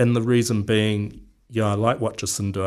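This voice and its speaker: Against a quiet background, a man with a New Zealand accent speaks in a fairly low pitch with monotone, flat intonation. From New Zealand, Wellington. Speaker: local council candidate. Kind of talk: radio interview. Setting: radio studio. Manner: halting, many fillers.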